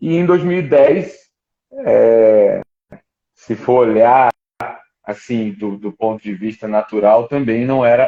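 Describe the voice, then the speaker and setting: Here a man speaks at a medium pitch with ordinary pitch variation. His pace is very slow. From Rio de Janeiro, Brazil. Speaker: ministry school staff member. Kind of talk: live stream interview. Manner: halting, many repetitions.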